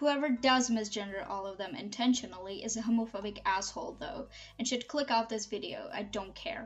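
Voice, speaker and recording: Music plays in the background. A woman with a non-native accent speaks at a fairly high pitch. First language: not English. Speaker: YouTuber, video essayist. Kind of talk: scripted commentary video.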